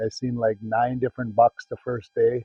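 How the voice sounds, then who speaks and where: With a Wisconsin accent, a man speaks at a medium pitch in a somewhat breathy voice. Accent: Upper Midwest (Wisconsin) American. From Wisconsin, Green Bay area. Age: 60s. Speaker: hunter. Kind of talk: interview testimony. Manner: casual, halting with fillers.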